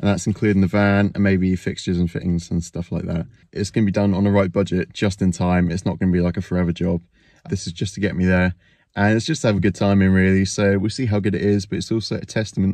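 Over a quiet background, a dark, mellow voice moves at a very fast pace with fairly even intonation and a dry sound with no echo. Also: man, very deep, low pitch for a man. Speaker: reseller vlogger. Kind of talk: casual vlog chat. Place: car. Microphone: phone near.

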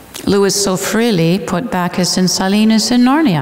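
A woman with a Canadian accent at a moderate pace, audible room echo around her. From Canada. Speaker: literature scholar and speaker; guest lecturer. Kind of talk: lecture. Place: church. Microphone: headset.

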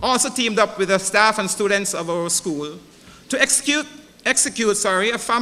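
What comes through is an unforced reading voice.

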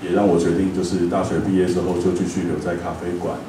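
A man with a Taiwanese accent speaks fairly quickly in a very deep, low pitch, with audible room echo and light background noise. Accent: Taiwanese Mandarin. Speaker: cafe owner. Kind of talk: lecture talk, conversational. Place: hall.

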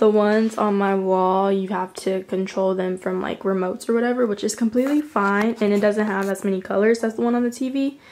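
Barely pausing, a woman talks at a fairly quick pace with fairly even intonation. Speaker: lifestyle vlogger; vlogger. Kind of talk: casual room tour vlog. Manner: filler-heavy, chatty. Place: home room. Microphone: phone near.

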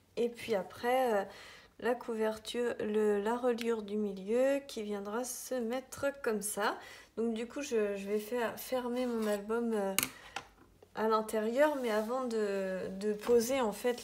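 Very slow speech with fairly even intonation. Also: woman. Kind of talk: tutorial. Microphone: phone near.

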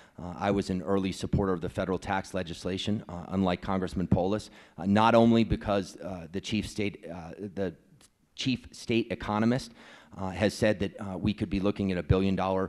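Over a quiet background, a man talks at a fairly quick pace. His voice is very deep and low, with fairly even intonation. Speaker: candidate. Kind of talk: debate answer. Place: hall. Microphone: handheld.

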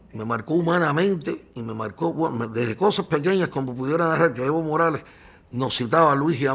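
Speaking with a Cuban accent, a man keeps a moderate pace and lively intonation. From Cuba, Cienfuegos. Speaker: journalist. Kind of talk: interview.

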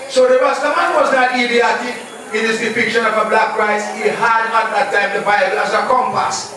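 A man's raised, projected voice at an extremely high pitch, in strong room echo with light background noise, moderate pace, fairly even intonation and hardly any pauses. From Jamaica. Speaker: Rastafarian speaker. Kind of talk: lecture. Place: hall.

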